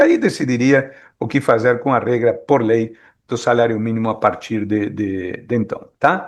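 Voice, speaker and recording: A man speaks against a quiet background. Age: 60s. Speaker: economist. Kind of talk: expert talk at a meeting. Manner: hesitant, many fillers.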